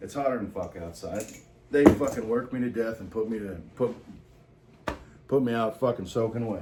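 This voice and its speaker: A man talks at a moderate pace with medium pitch and ordinary pitch variation. Long, frequent pauses break up his speech over noticeable background noise. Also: big swings in loudness. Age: 30s. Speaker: salesman and vlogger. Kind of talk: casual monologue vlog. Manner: casual, profane, halting with fillers.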